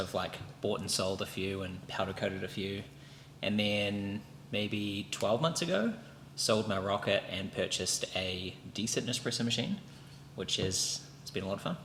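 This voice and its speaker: Fairly low in pitch, a man speaks in a New Zealand accent. He keeps a moderate pace with ordinary pitch variation. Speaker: podcast co-host. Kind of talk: casual chat.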